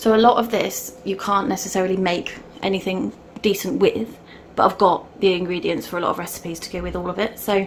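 A woman speaks at a fairly quick pace with fairly even intonation. Light background noise sits underneath. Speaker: family vlogger. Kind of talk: casual vlog chat.

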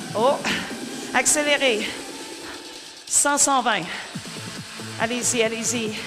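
Over music in the background, a woman talks very slowly in a high pitch with ordinary pitch variation. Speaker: spin class coach. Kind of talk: fitness class instruction. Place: studio.

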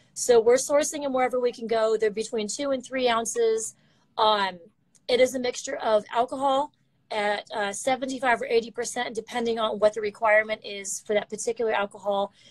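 A woman talks at a fairly quick pace with fairly even intonation over a quiet background. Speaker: remote guest. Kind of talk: interview answer, product explanation. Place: office. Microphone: video call.

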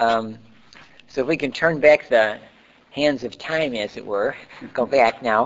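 Ordinary pitch variation marks a fairly slow delivery broken by long, frequent pauses. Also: man. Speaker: oral history interviewer. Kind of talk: oral history interview. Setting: library. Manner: halting, many fillers.

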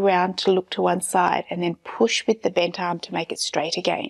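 A woman speaks at a fairly slow pace with vocal fry. The background is quiet. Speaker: fitness instructor. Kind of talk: exercise class instruction. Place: empty room.

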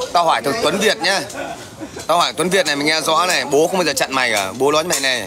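Over noticeable background noise, a man with a fairly high pitch talks at a very fast pace with ordinary pitch variation. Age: 40s. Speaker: livestreamer. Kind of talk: livestream chat and heated rant at viewers. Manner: confrontational, loud. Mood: confrontational, taunting. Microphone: phone near.

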